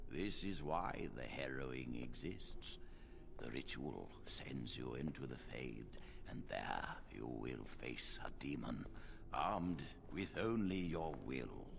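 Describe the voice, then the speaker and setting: Amid loud background noise, a man performs in a put-on character voice. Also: fairly slow pace. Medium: video game. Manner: grave, paternal.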